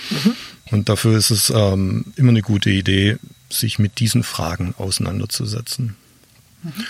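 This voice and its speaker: A man speaks at a moderate pace, somewhat breathy, with ordinary pitch variation. Long, frequent pauses run through his speech. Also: fairly low pitch for a man. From Swabia, southern Germany. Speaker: online marketing expert and keynote speaker. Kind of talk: interview, explaining concepts. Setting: outdoors in a garden.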